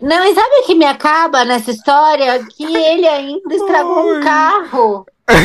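At a moderate pace, a woman speaks with a high pitch. Her intonation is lively. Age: 40s. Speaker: podcast guest. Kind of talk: casual chat.

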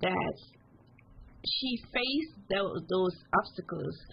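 A woman is speaking. Her voice carries vocal fry.

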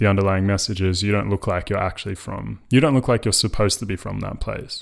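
Someone talks at a fairly quick pace with an Australian accent and ordinary pitch variation. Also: man. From Australia, Melbourne. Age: 20s. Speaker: podcast host. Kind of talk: casual interview chat. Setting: remote recording. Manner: hesitant, many fillers.

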